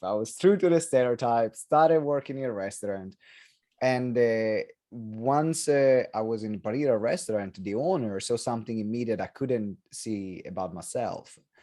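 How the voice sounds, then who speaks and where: A dark, mellow tone with lively intonation comes at a moderate pace in an Italian accent. The recording is very clean, with a silent background. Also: man. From Italy. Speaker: entrepreneur and author. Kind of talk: interview.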